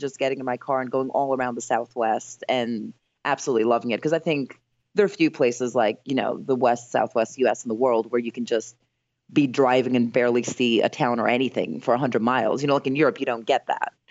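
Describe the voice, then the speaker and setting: Music plays behind a woman with a very deep, low pitch. She speaks at a fairly quick pace. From Greece (Athens). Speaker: actress and travel blogger. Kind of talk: casual interview chat.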